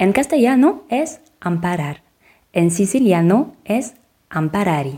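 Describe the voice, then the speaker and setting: Her tone dark and mellow, a woman speaks at a very slow pace and medium pitch, with very wide pitch swings and long, frequent pauses. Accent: French. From France. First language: French (speaking Spanish). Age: 30s. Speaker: podcast co-narrator. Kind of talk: scripted narration.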